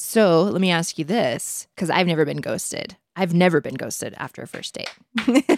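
A woman with a fairly low pitch talks in a dry, close recording with no echo, her loudness rising and falling sharply. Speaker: podcast co-host. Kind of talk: casual chat about dating and relationships. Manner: fast talker, witty, sarcastic; fast talker.

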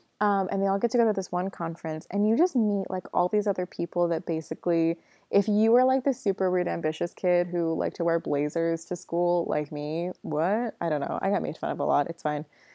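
Hardly pausing, a woman talks at a fairly quick pace in a fairly low pitch with ordinary pitch variation. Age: 20s. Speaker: podcast host, nonprofit founder. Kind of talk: solo podcast monologue. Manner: animated.

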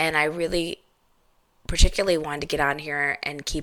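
The speaker is a woman. She has a bright, sharp tone. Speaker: podcast host and licensed therapist. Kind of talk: casual solo monologue. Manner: unscripted, conversational.

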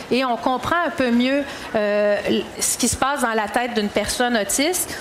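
A woman's high-pitched voice at a fairly slow pace, with ordinary pitch variation, audible room echo and noticeable background noise. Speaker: round-table moderator. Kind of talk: panel discussion.

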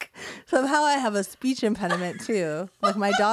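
Lively intonation in a natural reading voice.

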